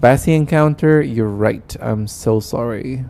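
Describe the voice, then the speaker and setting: With ordinary pitch variation, this man talks in a medium pitch. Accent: Spanish. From Argentina. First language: Spanish. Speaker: gaming streamer. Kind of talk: live stream chat. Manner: casual, chatty.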